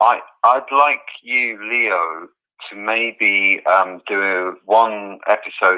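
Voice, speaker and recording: This is a man speaking with an English accent. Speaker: caller. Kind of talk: phone-in call. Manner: halting.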